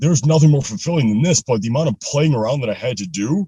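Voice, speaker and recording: A man with a medium pitch and a dark, mellow, somewhat breathy tone talks at a very fast pace with lively intonation, recorded dry and close with no echo. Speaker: motivational speaker and podcast host. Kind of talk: casual interview chat.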